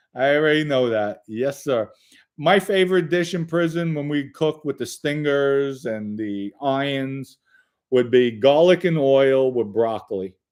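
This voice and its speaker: A plain, everyday voice from a man, fairly high-pitched, with ordinary pitch variation and a fairly slow pace. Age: 50s. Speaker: livestream host, former mobster. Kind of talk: live chat reading viewer comments. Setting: livestream. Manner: casual, conversational.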